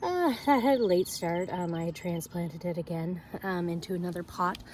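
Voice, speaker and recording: A somewhat breathy female voice, medium in pitch, at a moderate pace. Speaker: farmer and vlogger. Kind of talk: casual vlog garden tour. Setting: outdoors. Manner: hesitant, many fillers.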